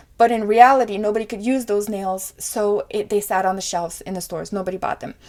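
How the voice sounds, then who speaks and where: The speaker talks at a very fast pace in an animated tone, with ordinary pitch variation. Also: woman. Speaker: political commentary vlogger. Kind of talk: casual monologue vlog.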